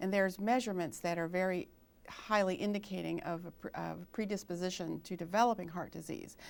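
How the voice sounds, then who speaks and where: On a very clean recording with a silent background, a woman with an unremarkable speaking voice talks at a medium pitch and a fairly quick pace, her intonation fairly even. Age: 60s. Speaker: registered nurse and author. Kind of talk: health interview. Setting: TV studio.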